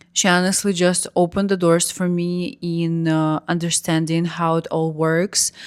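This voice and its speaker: A woman speaks in a Russian accent at a moderate pace, her fairly low voice flat and monotone, in a very clean recording with a silent background and a dry, close sound with no echo. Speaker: vlogger. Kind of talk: personal story vlog.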